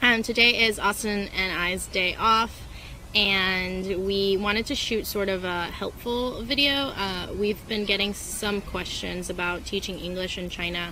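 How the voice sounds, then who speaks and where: Music plays in the background as a woman of medium pitch speaks at a moderate pace. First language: not English. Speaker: travel vlogger, English teacher abroad. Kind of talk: casual vlog talk. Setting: outdoors in a park.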